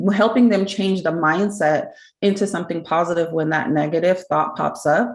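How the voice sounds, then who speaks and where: A woman's fairly low voice amid audible room echo. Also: ordinary pitch variation, moderate pace. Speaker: smoking cessation program presenter. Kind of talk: conference presentation.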